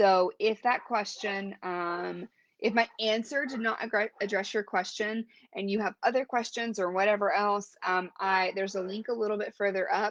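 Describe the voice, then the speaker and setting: In a normal speaking voice, a woman talks at a moderate pace and medium pitch with ordinary pitch variation, the sound dry and close with no echo against a quiet background. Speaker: brand strategist and coach hosting a live stream. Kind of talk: solo live stream talk. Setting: live video stream. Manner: casual with filler words.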